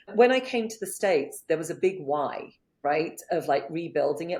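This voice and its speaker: Speaking at a moderate pace, a woman with a non-native accent uses lively intonation. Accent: foreign, non-American. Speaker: business coach. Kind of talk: interview.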